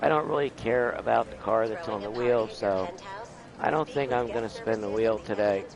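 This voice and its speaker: A man's medium-pitched voice with ordinary pitch variation over noticeable background noise. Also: moderate pace. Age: 60s. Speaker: gaming streamer. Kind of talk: live gameplay stream chat. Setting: at home. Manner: casual, with frequent fillers.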